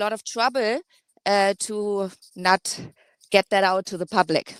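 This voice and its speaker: A woman at medium pitch with fairly even intonation, a fairly slow pace and a dry, close sound with no echo. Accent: German. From Germany. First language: German. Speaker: caller. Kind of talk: call-in discussion. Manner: hesitant, many fillers.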